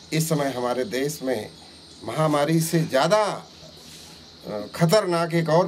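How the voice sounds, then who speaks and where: Noticeable background noise runs under the recording. A man speaks at a fairly high pitch. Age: 60s. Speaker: opposition politician. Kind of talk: interview.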